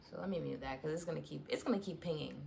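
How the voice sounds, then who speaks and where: A woman's voice over noticeable background noise. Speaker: vlogger. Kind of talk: casual chat.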